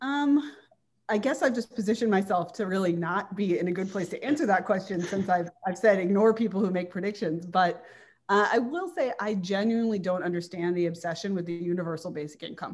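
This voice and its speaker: Delivered at a fairly quick pace, an ordinary speaking voice moves with ordinary pitch variation. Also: woman, medium pitch for a woman. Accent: General American. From Washington, D.C. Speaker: magazine editor. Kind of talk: interview.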